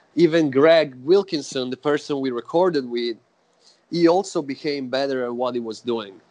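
A man talks with an Italian accent. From Italy, Florence. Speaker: death metal musician. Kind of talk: interview.

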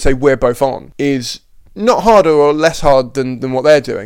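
A man speaks at a moderate pace with a medium pitch. He has an ordinary speaking voice. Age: 20s. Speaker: comedian and podcast host. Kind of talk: casual chat.

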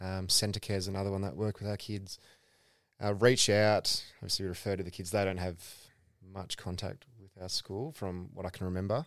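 A man with a fairly low pitch speaks at a fairly quick pace with fairly even intonation. His loudness swings widely on a very clean recording with a silent background. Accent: Australian. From Perth, Western Australia. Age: 20s. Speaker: former footballer and teacher. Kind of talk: casual chat.

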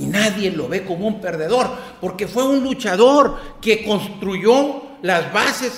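Amid audible room echo and noticeable background noise, a man speaks at a fairly slow pace with a high pitch and lively intonation. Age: 50s. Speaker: newspaper columnist. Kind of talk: casual interview conversation.

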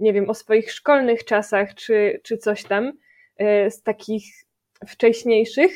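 Over a quiet background, a woman talks in an unremarkable speaking voice, fairly high in pitch with fairly even intonation. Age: 20s. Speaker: music education student. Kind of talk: casual chat.

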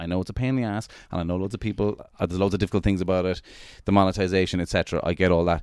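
A man with an Irish accent speaks in a very deep, low voice with ordinary pitch variation. The recording is very clean, with a silent background. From Ireland. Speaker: comedian. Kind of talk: casual chat. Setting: New York City. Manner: animated.

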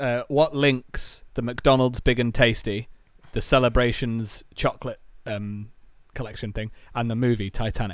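A man with an English accent, medium pitch, moderate pace and fairly even intonation, in a very clean recording with a silent background. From England. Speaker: podcast co-host. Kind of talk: casual chat.

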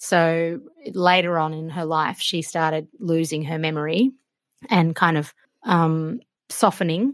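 A woman's fairly low voice in an Australian accent, at a fairly slow pace with ordinary pitch variation. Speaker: cook and food broadcaster. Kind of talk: interview conversation.

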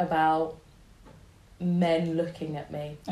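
A woman with a London accent and a fairly low pitch, plus audible room echo. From North London (Wembley). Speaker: blogger and body positivity campaigner. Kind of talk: interview conversation.

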